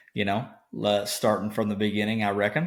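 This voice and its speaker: With an Arkansas accent, a man speaks at fairly low pitch using fairly even intonation. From Arkansas, east (Brinkley). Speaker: podcast co-host, farm background. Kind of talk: casual podcast chat. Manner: hesitant, many fillers.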